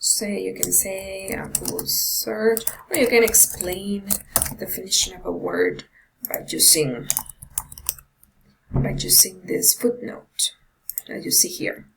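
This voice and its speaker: A woman speaks at a very slow pace. Her speech is marked by long, frequent pauses. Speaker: tutorial presenter. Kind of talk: screen-recorded software tutorial. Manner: hesitant with many fillers.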